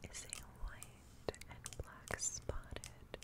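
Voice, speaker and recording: A soft-spoken woman whispering. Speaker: ASMR creator. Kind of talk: soft-spoken ASMR narration. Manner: soft close-mic ASMR whisper. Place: home room.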